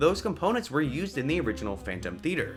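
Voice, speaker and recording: With music playing behind him, a man talks at a very fast pace, his fairly high pitch swinging very widely. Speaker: theme park YouTuber. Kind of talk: video commentary monologue.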